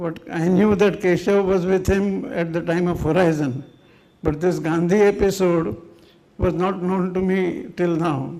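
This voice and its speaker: In a room with audible echo, a high-pitched man talks at a fairly slow pace with fairly even intonation. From India, Mumbai. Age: 80s+. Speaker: speaker at a memorial function. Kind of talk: tribute speech. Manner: halting.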